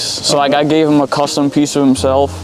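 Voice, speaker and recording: A man's fairly high voice with a slight Southern US accent, over noticeable background noise. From Rhode Island, US. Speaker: custom artist. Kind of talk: casual interview.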